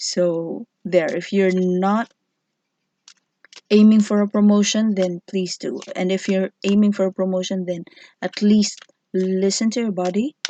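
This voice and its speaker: A woman with a non-native accent speaks at a fairly slow pace, leaving long, frequent pauses. Her tone is dark and mellow, and the sound is dry and close with no echo. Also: medium pitch for a woman, fairly even intonation. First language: not English. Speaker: tarot reader. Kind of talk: tarot reading video. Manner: halting.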